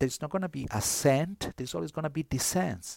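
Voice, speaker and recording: Recorded dry and close with no echo against a silent background in a very clean recording, a man with an Italian accent speaks with very wide pitch swings. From northern Italy. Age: 50s. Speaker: priest and New Testament scholar. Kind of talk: interview conversation. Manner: halting, many fillers.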